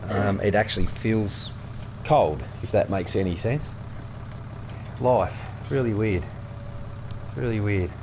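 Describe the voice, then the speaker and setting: Amid noticeable background noise and audible room echo, a man with a fairly low pitch and ordinary pitch variation speaks at a fairly slow pace, leaving long, frequent pauses. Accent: Australian. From Australia. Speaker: gaming streamer. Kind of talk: casual gameplay commentary. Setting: home, windows open.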